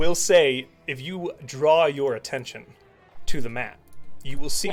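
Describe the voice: Faint music plays behind a man doing a booming, put-on character voice at a fairly high pitch and a fairly slow pace.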